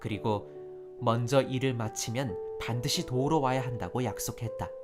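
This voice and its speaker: Over music in the background, a man talks at a moderate pace and medium pitch, with ordinary pitch variation. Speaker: voice actor. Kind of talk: narration.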